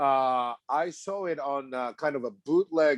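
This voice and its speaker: With a Japanese accent, the speaker uses ordinary pitch variation, and the sound is dry and close with no echo. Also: man. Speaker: film director. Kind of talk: interview. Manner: halting.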